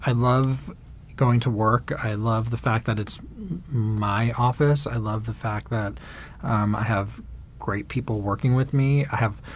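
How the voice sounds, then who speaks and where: A man with an American accent, somewhat breathy, at medium pitch, with a fairly slow pace and fairly even intonation. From New York. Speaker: casting director. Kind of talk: interview answer.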